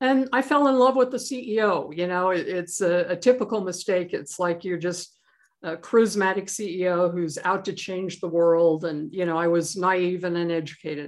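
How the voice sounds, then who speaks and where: Using a normal speaking voice, a woman with an American accent talks at a moderate pace, with a medium pitch and ordinary pitch variation. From US West (Idaho). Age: 60s. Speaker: author and angel investor. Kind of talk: interview.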